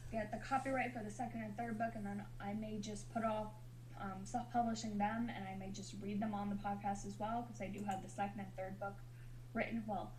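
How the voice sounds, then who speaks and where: Audible room echo surrounds a woman speaking at a fairly quick pace. Noticeable background noise is also present. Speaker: novelist streamer reading own book. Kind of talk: casual chat. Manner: fast; halting, tongue-tied.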